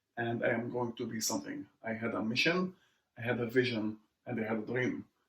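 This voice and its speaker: A moderate tempo carries this somewhat breathy voice. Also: man. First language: Arabic. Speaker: immigrant entrepreneur. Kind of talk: interview conversation.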